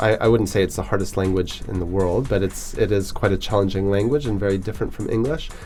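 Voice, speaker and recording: Ordinary pitch variation marks this voice in a Canadian accent, with music playing behind it. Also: man. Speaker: schoolteacher. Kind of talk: radio interview.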